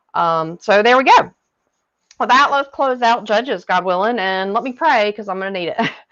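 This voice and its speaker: This woman has a Southern US accent and a fairly high pitch. She talks at a moderate pace with lively intonation. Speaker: Bible reading coach. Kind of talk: Bible study talk and reading aloud. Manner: hesitant, frequent fillers.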